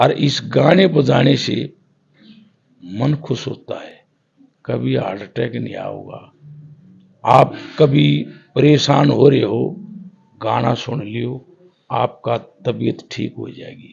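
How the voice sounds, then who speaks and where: A man with a Haryana accent, marked by long, frequent pauses and big swings in loudness. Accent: Haryanvi. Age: 70s. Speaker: folk ragni singer. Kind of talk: interview.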